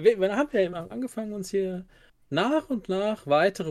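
A man's high-pitched voice at a moderate pace. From Germany, near Karlsruhe. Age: 40s. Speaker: Magic card game player. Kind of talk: casual chat.

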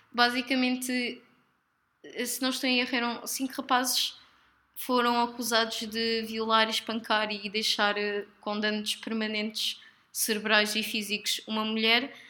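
A woman's fairly high, bright, sharp voice in a European Portuguese accent, with monotone, flat intonation at a fairly slow pace. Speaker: podcast co-host. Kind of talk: casual chat.

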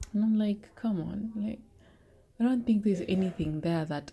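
A woman speaks in a dark, mellow tone that is somewhat breathy. Her pitch variation is ordinary. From Kenya. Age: 20s. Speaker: podcast host. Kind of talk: solo Bible study monologue. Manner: halting.

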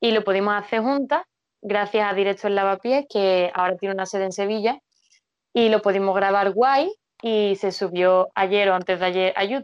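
In a plain, everyday voice, a woman speaks at a moderate pace and medium pitch with fairly even intonation. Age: 20s. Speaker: biochemist and poet. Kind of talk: casual interview.

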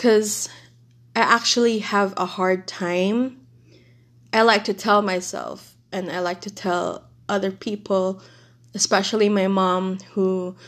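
The woman's voice sits at a medium pitch and stays monotone and flat. The recording is very clean, with a silent background. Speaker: podcast host. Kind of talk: casual solo monologue. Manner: halting.

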